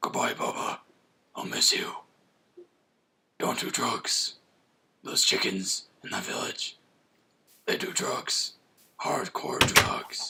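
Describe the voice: A man's put-on character voice, whispering, gravelly, raspy and gruff, at a fairly slow pace with long, frequent pauses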